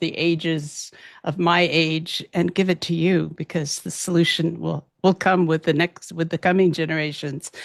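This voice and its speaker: A woman speaks at a moderate pace in a fairly low pitch, with monotone, flat intonation and vocal fry, her voice dry and close with no echo against a quiet background. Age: 70s. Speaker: physician and abuse survivor activist. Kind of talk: interview testimony.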